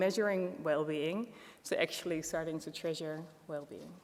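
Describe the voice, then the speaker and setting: At a fairly low pitch, a woman talks at a moderate pace with fairly even intonation. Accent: Dutch. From Netherlands. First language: Dutch. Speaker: wellbeing economy policy expert. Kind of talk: conference presentation.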